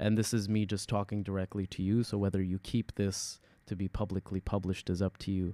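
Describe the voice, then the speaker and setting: A man with an Arabic accent speaks at a fairly quick pace in a dark, mellow tone. His intonation is monotone and flat, with a dry, close sound and no echo. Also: fairly low pitch for a man. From UAE. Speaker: experimental hip-hop artist. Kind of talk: casual interview.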